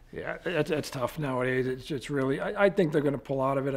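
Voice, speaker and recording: Here a man speaks with an American accent. His intonation stays fairly even. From Quincy, Massachusetts; Massachusetts. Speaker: army general and state police officer. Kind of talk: interview. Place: office.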